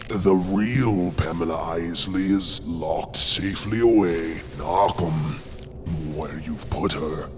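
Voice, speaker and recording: Over loud background noise, a man performs a put-on character voice at a very deep, low pitch. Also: fairly slow pace. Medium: audio drama. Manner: sultry, unhurried, purring.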